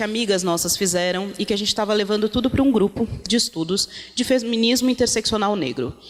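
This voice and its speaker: The pitch varies in an ordinary way, and background noise is noticeable. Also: woman. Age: 30s. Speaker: activist and project founder. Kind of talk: panel talk.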